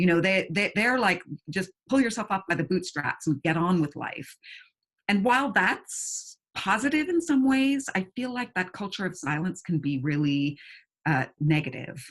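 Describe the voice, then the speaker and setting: A woman talks at a moderate pace and medium pitch, somewhat breathy, with very wide pitch swings. The background is quiet. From Brooklyn and England. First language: German. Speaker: novelist. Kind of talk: interview. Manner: hesitant repetitions.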